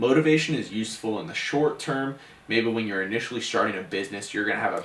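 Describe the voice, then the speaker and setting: A man speaks at a medium pitch with ordinary pitch variation. Noticeable background noise and audible room echo run through the recording. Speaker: podcast co-host. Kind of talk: casual podcast chat wrapping up episode. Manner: stuttering.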